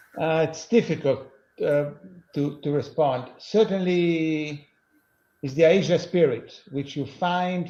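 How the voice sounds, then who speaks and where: A man speaks in an Italian accent with a dark, mellow tone. His delivery is fairly slow, with fairly even intonation. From Italy. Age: 60s. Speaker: lawyer. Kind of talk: interview answers.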